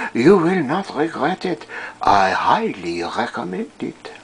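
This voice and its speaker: This put-on character voice sits at a middle pitch. It moves at a fairly slow pace. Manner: enthusiastic, theatrical.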